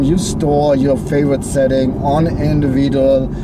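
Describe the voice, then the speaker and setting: Speaking fairly slowly with a strong German accent, a man's fairly high voice comes through audible room echo and noticeable background noise. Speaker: car reviewer. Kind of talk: car review. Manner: animated.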